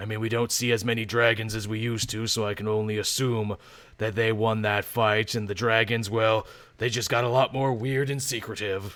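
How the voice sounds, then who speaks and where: A man uses a put-on character voice at medium pitch, delivered monotone and flat at a fairly quick pace. The recording is very clean with a silent background. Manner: depressed, gloomy.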